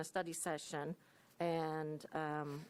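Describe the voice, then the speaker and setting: A woman speaks in a very clean recording with a silent background. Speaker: community corrections director. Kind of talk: reading aloud; public meeting presentation. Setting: county commission meeting. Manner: hesitant, many fillers.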